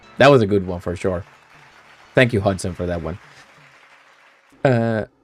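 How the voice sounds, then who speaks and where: A man with a fairly low pitch talks at a moderate pace with ordinary pitch variation and big swings in loudness. Crowd noise can be heard in the background. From Finland (Swedish-speaking). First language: Swedish. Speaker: streamer. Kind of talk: casual live stream chat. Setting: home PC, live stream.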